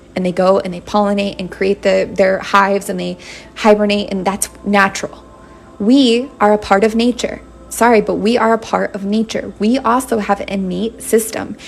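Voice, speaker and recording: A woman speaks at a moderate pace, her pitch in the medium range and her intonation fairly even. Music plays behind her. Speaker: tarot reader. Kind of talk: live-stream tarot reading. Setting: live stream.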